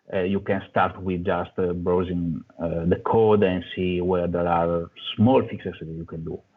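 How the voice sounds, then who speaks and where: A man with an Italian accent and a very deep, low pitch, monotone and flat in intonation, at a fairly slow pace with hardly any pauses and big swings in loudness. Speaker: software developer. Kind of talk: conference talk. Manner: halting.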